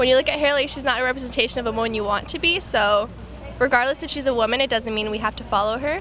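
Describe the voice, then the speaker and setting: Over music in the background, a woman talks at a very fast pace in a high pitch with ordinary pitch variation. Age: young. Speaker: rally attendee. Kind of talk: interview.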